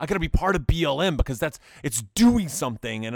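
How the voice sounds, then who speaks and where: A man talks at a fairly quick pace with very wide pitch swings. The recording is very clean, with a silent background and a dry, close sound with no echo. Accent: American. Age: 40s. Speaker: podcast co-host. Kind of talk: casual chat.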